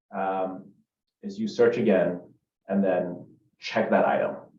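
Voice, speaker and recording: A man's voice carries audible room echo. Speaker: software trainer. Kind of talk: screen-share tutorial. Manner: casual with filler words.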